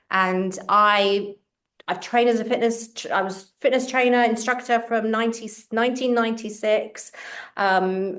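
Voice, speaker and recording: A woman with a London accent speaks at a moderate pace. Her fairly high pitch stays in fairly even intonation. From England, London. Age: 50s. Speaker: fitness coach and author. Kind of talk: interview.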